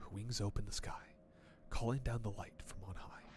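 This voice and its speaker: A man whispers in a breathy put-on character voice at a moderate pace. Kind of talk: reading aloud from an old ritual book. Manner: soft breathy, ASMR-like.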